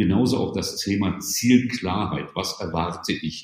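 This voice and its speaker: Here a man talks with ordinary pitch variation. His voice is somewhat breathy. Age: 60s. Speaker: management consultant and author. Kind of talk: podcast interview.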